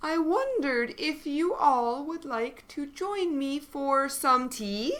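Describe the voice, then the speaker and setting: A woman puts on a high-pitched character voice. She mumbles at a fairly slow pace. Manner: shy, mumbling.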